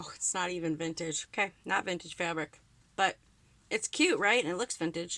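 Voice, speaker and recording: A woman's fairly low, bright and sharp voice with a Wisconsin accent, ordinary pitch variation and moderate pace. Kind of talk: casual crafting talk to camera. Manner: chatty, upbeat.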